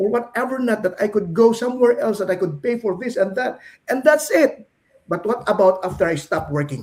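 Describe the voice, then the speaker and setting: At a fairly quick pace, a man speaks with an extremely high pitch and lively intonation. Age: 60s. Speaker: business coach. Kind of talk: casual chat.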